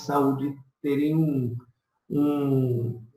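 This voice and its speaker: A man's voice with audible room echo. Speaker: professor and author of statistics book on covid. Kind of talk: online presentation and Q&A.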